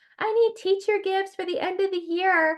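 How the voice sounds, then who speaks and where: A female-sounding put-on character voice, extremely high in pitch, at a moderate pace. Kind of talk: snooty suburban.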